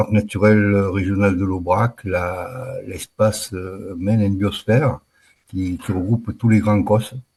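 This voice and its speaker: A man's fairly low, somewhat breathy voice, fairly even in intonation, at a very slow pace. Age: 60s. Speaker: retired wildlife manager. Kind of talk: casual interview. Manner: halting, with many hesitations.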